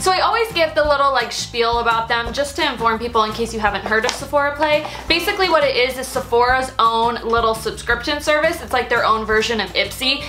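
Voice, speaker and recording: A woman speaks in a raised, projected voice at a very fast pace, with hardly any pauses and ordinary pitch variation. Faint music plays in the background. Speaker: beauty vlogger. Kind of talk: casual vlog chat. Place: home room.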